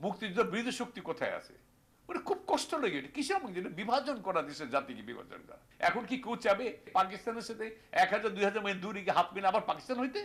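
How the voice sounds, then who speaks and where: There is noticeable background noise as a man speaks in a high pitch. His loudness swings widely. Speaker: war veteran. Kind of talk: news interview soundbite.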